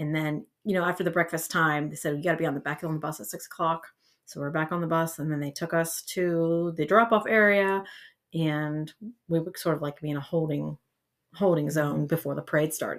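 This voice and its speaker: Fairly quick speech in an Ohio accent. The recording is very clean, with a silent background. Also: woman, fairly low pitch for a woman, fairly even intonation. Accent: Midwestern American (Ohio). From northeastern Ohio. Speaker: school band director. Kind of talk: interview chat.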